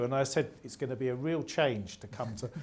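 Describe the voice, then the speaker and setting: With audible room echo, a man talks using lively intonation. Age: 60s. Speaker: former subpostmaster. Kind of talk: testimony. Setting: stage with audience.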